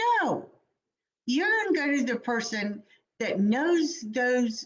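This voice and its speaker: A woman is speaking. Her pitch is fairly high. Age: 50s. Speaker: life coach and speaker. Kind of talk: motivational talk. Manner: occasionally tongue-tied.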